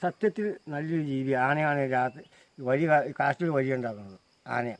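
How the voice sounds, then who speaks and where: A man with a plain, everyday voice and a fairly high pitch is heard in a dry, close recording with no echo. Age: 60s. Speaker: elephant handler. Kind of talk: storytelling interview.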